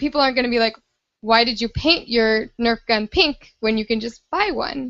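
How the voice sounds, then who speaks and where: A woman speaks in a squeaky, fairly high voice. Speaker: podcast guest, nerf player's girlfriend. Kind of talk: casual chat. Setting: podcast recording, shared handheld mic.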